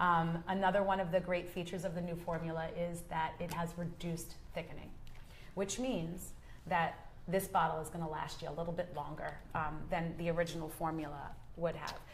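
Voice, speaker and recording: The voice is somewhat breathy and monotone, moving at a fairly quick pace. Audible room echo surrounds it. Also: woman, fairly low pitch for a woman. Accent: US East Coast. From US East Coast. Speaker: nail product educator. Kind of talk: educational chat on a live show. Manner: conversational with frequent fillers.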